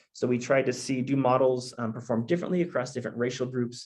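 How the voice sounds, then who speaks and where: Audible room echo surrounds the recording. A man talks at a very fast pace. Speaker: researcher presenting data science results. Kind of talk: conference presentation. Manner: halting, many fillers.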